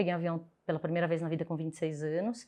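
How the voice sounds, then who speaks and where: A woman speaks with a São Paulo accent over a quiet background. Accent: Brazilian Portuguese, São Paulo (paulistano). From Brazil, São Paulo south zone. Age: 30s. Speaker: podcast guest, expat sharing career story. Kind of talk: casual interview, personal storytelling. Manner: animated, expressive.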